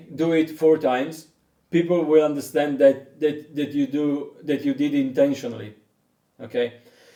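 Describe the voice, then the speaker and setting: A man speaks in an Italian accent at a fairly slow pace. His tone is dark and mellow, with fairly even intonation. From Italy. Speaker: didgeridoo teacher. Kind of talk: online lesson. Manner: halting.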